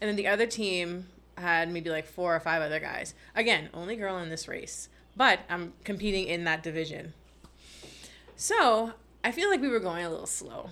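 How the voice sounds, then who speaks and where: A woman speaks at a moderate pace with a fairly low pitch and a bright, sharp tone. Her pitch varies in an ordinary way, with long, frequent pauses. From Bahamas. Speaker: marine conservationist and science communicator. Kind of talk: casual interview chat.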